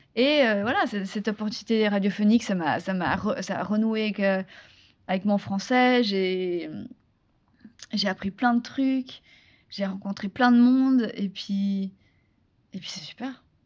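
A woman talks at a very slow pace, leaving long, frequent pauses, her medium-pitched voice somewhat breathy. Her pitch varies in an ordinary way over a quiet background. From Switzerland. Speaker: actress and former beauty queen; actress. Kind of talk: interview. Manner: hesitant, many repetitions. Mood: animated, laughing at memories. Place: studio. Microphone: studio mic.

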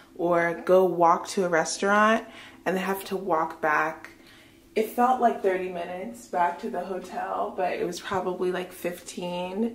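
Speaking fairly slowly, a woman keeps her intonation fairly even. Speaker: travel vlogger. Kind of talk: casual vlog chat. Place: bathroom. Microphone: phone near.

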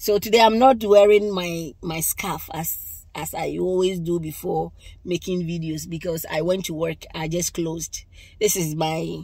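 A woman speaks at a fairly slow pace in a fairly low, dark, mellow, somewhat breathy voice. Her intonation is fairly even, and the sound is dry with no echo. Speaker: religious vlogger. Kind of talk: casual vlog chat, testimony. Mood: relaxed, sometimes laughing. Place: car.

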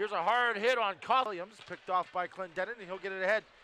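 Raising and projecting his voice, a man speaks at a very fast pace. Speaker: hockey play-by-play announcer. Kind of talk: live sports commentary over game highlights. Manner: rapid-fire, clipped play-by-play calls; excitable on goals, energetic.

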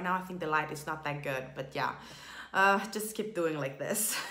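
A woman's voice is heard with audible room echo. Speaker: beauty vlogger. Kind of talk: casual makeup tutorial chat. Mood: cheerful, laughing. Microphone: phone near.

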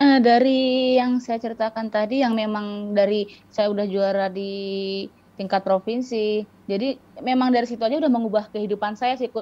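With fairly even intonation, a woman talks at a moderate speed. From Riau, Sumatra, Indonesia. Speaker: para-badminton athlete; guest. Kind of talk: interview. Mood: calm, reflective storytelling. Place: home room. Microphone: video call.

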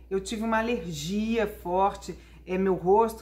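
The woman's voice is somewhat breathy. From Brasília, Brazil. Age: 40s. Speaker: journalist and TV presenter; journalist, TV presenter. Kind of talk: testimony. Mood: warm, upbeat storytelling. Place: home room. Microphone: phone near.

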